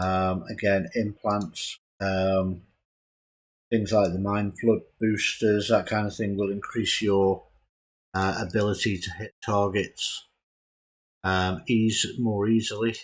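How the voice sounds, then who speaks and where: A quiet man speaks at a very slow pace and fairly low pitch, in a monotone, flat way with long, frequent pauses. The recording is very clean, with a silent background. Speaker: gaming video creator. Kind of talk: tutorial. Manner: hesitant, many fillers.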